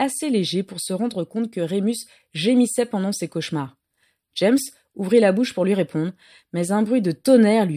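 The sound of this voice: There is an unforced reading voice over a quiet background.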